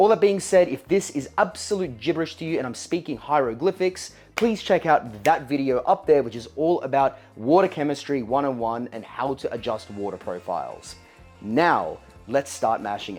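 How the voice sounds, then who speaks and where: Moderate pace, in an Australian accent. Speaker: home brewing channel host. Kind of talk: brewing tutorial. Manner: casual, chatty.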